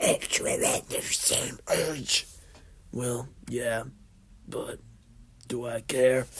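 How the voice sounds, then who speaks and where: A raspy put-on character voice speaks very slowly, with long, frequent pauses. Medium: solo performance. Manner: mocking.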